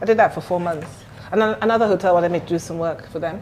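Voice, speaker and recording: Over music in the background, a woman at medium pitch talks at a very fast pace with fairly even intonation. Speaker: restaurant owner. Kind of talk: casual interview chat.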